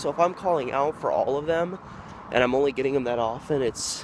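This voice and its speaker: With an American accent, a man speaks at a moderate pace with ordinary pitch variation. Noticeable background noise is present. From Oregon, USA. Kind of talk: casual vlog talk to camera.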